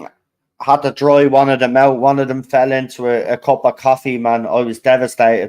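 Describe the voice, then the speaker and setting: Monotone, flat intonation at a fairly quick pace, in a dry, close sound with no echo. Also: man, medium pitch for a man. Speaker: football fan streamer. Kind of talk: live match watchalong commentary. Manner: holding volume down today.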